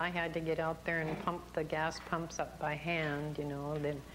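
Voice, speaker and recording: A woman speaks with a very deep, low pitch. Her intonation is monotone and flat, and her pace is fairly slow. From Point Roberts, Washington, US. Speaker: local old-timer. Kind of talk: oral history interview.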